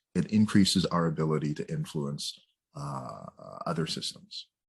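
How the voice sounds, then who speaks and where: A man with a Canadian accent talks at a moderate pace, his pitch making very wide swings. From Canada, Jamaican heritage. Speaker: psychotherapist and author. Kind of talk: interview conversation. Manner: casual, hesitant with fillers.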